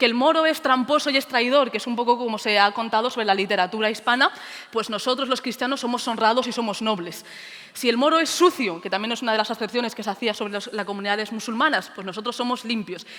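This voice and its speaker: Over noticeable background noise, a woman with a fairly high pitch speaks at a very fast pace, with ordinary pitch variation. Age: 20s. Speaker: teacher. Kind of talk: conference talk.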